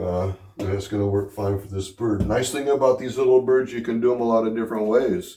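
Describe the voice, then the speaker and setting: This man's voice has a dark, mellow tone and a fairly low pitch. His intonation stays fairly even. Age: 60s. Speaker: home cook vlogger. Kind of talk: casual cooking tutorial. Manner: casual, hesitant with many fillers.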